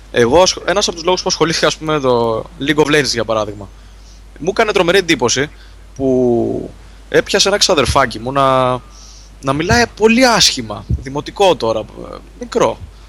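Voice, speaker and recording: A man at fairly high pitch uses very wide pitch swings. He keeps a moderate pace with long, frequent pauses. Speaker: gaming site contributor. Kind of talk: casual chat.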